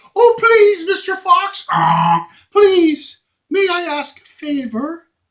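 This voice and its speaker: Someone talks very slowly in a put-on character voice. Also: man, extremely high pitch for a man. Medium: read story. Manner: pleading.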